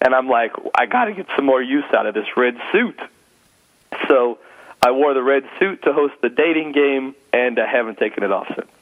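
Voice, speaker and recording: Delivery moves at a moderate pace with ordinary pitch variation. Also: man, medium pitch for a man. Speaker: stand-up comedian and corporate speaker. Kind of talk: casual interview. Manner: loud.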